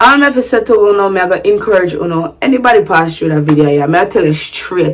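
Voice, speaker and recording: A woman with a Jamaican accent speaks in an animated tone, her fairly low pitch carried by lively intonation. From Sint Maarten, Jamaican background. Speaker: vlogger. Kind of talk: casual vlog talk. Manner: animated, code-switching to patois.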